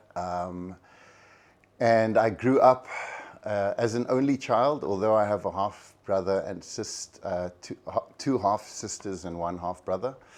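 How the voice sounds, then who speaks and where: Against a quiet background, a man with a Cape Town accent talks at a fairly slow pace. His fairly low pitch shows ordinary variation. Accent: South African (Cape Flats English). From South Africa, Cape Town (Athlone). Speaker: actor. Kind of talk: testimony. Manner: halting.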